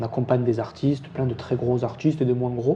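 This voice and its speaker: A man at a fairly quick pace, monotone and flat, over noticeable background noise. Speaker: university lecturer and rap industry agency co-founder. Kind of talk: casual interview chat. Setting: in his agency's office. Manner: hesitant, many fillers.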